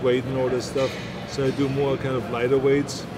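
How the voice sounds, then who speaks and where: Loud background noise fills the recording. A man is speaking. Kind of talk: interview answer. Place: gym.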